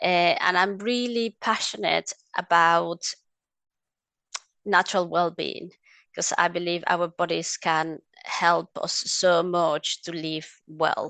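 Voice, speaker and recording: Over a quiet background with a dry, close sound and no echo, a woman in a Mexican accent speaks at a very slow pace with long, frequent pauses, a fairly low pitch and a bright, sharp tone. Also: ordinary pitch variation. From Mexico. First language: Spanish. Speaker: essential oils advocate. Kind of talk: interview conversation. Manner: hesitant, with fillers.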